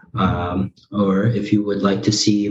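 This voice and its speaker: A man with an American accent talks at a fairly low pitch. Noticeable background noise runs underneath. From United States, Korean-American family. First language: Korean. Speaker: streamer. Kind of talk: casual interview.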